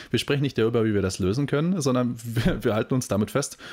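Speaking very fast, a man holds a medium pitch. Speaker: podcast co-host. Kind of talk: casual chat.

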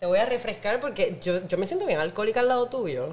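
A woman speaks in an animated tone with lively intonation. Noticeable background noise is present. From Puerto Rico, Naranjito (rural interior). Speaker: podcast host, wine professional. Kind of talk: casual chat.

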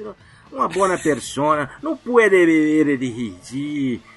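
Very wide pitch swings at a very slow pace, over noticeable background noise. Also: man. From Minas Gerais, Brazil. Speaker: listener guest, travel channel creator. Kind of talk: casual chat, storytelling.

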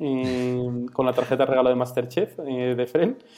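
At a moderate pace, a man speaks at medium pitch. Noticeable background noise can be heard. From Galicia, Spain (Vigo). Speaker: startup founder. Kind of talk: interview. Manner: halting, many fillers.

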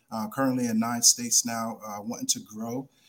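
In a New York accent, a man speaks at a moderate pace and medium pitch. His intonation stays fairly even. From New York, South Bronx. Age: 40s. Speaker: addiction treatment executive. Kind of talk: radio interview. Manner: halting.

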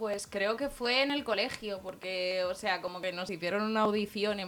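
A woman's medium-pitched voice with a bright, sharp tone, ordinary pitch variation and a moderate pace. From Spain. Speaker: singer. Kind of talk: interview. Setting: radio studio.

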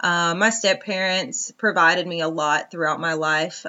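With ordinary pitch variation, a woman in an American accent talks at a moderate pace. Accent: Southern US, Georgia, comes out now and then. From US South, northwest Georgia. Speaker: podcast host, wellness coach. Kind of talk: personal monologue. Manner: casual, with frequent ums.

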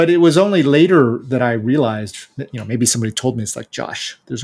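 Using an American accent, a man talks at a medium pitch with ordinary pitch variation and an unremarkable speaking voice. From United States. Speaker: bike company founder. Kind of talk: interview.

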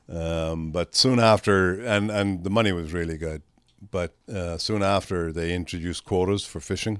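With an Irish accent and a very deep, low pitch, a man talks at a moderate pace with fairly even intonation on a very clean recording with a silent background. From Ireland. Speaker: management consultant. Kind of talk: casual chat.

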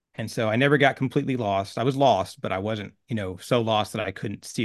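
A man's medium-pitched voice with ordinary pitch variation, at a fairly quick pace, against a quiet background. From Oklahoma, small town. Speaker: war veteran, spiritualist. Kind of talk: interview, casual.

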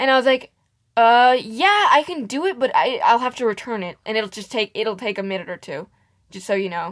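Against a quiet background, a woman talks in an animated tone with a fairly high pitch. Her intonation is lively and her loudness swings widely. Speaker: podcast co-host. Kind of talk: casual chat. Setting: home recording at a mic. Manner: animated, laughing.

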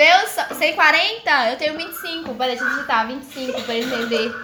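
A woman with a high voice speaks in a raised, projected way, with an animated tone and lively intonation. Noticeable background noise and audible room echo fill the recording. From southern Minas Gerais, Brazil. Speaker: streamer chatting with strangers online. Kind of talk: casual chat.

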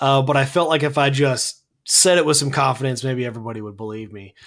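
A man with an unremarkable speaking voice, pitched fairly high, talks at a fairly quick pace. His intonation is lively. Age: 30s. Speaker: sports podcast co-host. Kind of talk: casual sports podcast chat.

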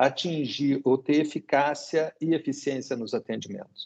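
A man's dark, mellow voice, fairly high in pitch, moves at a fairly slow pace. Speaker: dental cooperative executive. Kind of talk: interview.

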